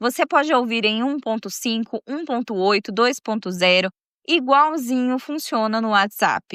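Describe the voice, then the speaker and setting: A woman speaks in a plain, everyday voice, fairly high in pitch with ordinary variation. The sound is dry and close with no echo, over a quiet background. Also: fairly slow pace. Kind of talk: storytelling podcast narration. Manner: casual, warm, chatty.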